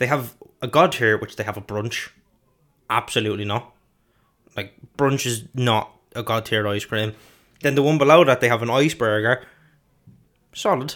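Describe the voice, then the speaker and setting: Speaking in an Irish accent, a man talks at a moderate pace with medium pitch and ordinary pitch variation. He leaves long, frequent pauses. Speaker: podcast co-host. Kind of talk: reading from notes; casual chat.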